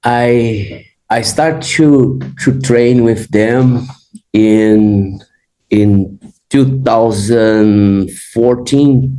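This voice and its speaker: Speaking with a Brazilian Portuguese accent, a man uses a medium pitch, a very slow pace, fairly even intonation and very even loudness. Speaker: jiu-jitsu facility manager. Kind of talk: interview podcast.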